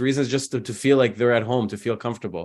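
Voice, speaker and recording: Over a quiet background, a man with an American accent and medium pitch talks at a very fast pace. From US Midwest, Detroit suburbs. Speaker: translator of Persian poetry. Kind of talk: interview conversation.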